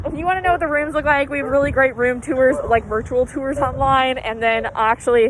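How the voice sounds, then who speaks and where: With noticeable background noise behind her, a woman talks at a fairly quick pace and high pitch, with ordinary pitch variation. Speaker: college student. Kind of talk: casual campus tour. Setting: outdoors, walking. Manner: casual, filler-heavy.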